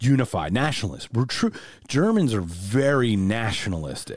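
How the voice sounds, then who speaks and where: A man with an American accent and an unremarkable speaking voice talks at a moderate pace. His medium pitch carries lively intonation on a very clean recording with a silent background. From United States. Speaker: podcast host. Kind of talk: casual interview. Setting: video recording.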